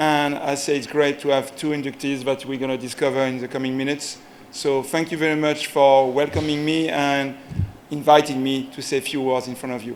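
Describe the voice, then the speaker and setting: In a French accent, a man talks at a fairly quick pace with fairly high pitch and a monotone, flat intonation. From France. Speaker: sports federation executive. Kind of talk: ceremony speech.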